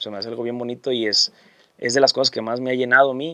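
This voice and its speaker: Words pour out at a very fast pace from a man whose pitch sits at medium. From Sinaloa, Mexico (Guamúchil area). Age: 30s. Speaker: singer-songwriter. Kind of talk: casual interview.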